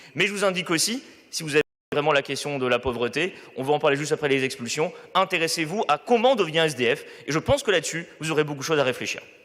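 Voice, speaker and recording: A man talking at a very fast pace, fairly high in pitch, with ordinary pitch variation. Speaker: local councillor. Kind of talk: council debate reply. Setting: council chamber. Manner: loud; hesitant, many fillers.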